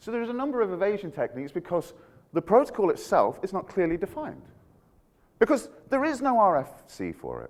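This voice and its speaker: A man with a Scottish accent speaks at a very fast pace. His pitch is high, and it swings very widely. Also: big swings in loudness. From Scotland. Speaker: security researcher. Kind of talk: conference talk. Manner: animated.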